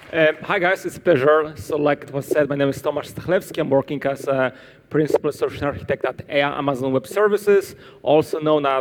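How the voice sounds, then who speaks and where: This man speaks with a Polish accent at a fairly high pitch, moving at a fairly quick pace. Noticeable background noise runs behind him. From Poland. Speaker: cloud solutions architect, conference speaker. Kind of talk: conference talk. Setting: stage with audience at a conference.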